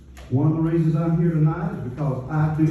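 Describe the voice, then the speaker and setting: A man with an American accent speaks at a fairly high pitch amid noticeable background noise and audible room echo. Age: 60s. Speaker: citizen speaking at council meeting. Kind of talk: public comment speech. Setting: county council meeting. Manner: formal.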